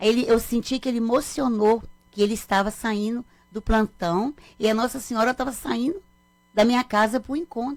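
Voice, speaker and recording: A woman speaks at a moderate pace. Her pitch is fairly high, with ordinary variation. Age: 60s. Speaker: mother of a murdered man. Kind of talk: radio interview. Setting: radio studio.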